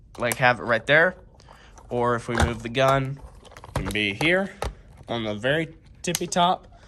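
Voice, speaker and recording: This man talks at a moderate pace and a medium pitch, with lively intonation. He takes long, frequent pauses, and there is noticeable background noise. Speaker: toy reviewer. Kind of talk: casual toy review to camera.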